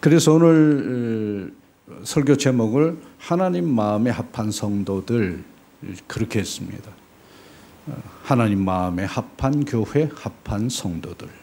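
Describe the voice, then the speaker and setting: A man with a medium-pitched voice talks at a very slow pace, leaving long, frequent pauses, his intonation lively and his loudness swinging widely. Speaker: missionary preacher. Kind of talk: sermon. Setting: church.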